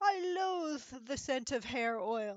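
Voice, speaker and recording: The woman puts on a character voice pitched high. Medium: read story. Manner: menacing.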